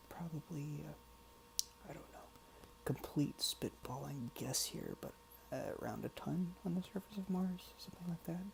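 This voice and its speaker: A soft-spoken man talks at a moderate pace. His loudness swings widely. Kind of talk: soft-spoken ASMR ramble. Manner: soft-spoken, rambling, informal.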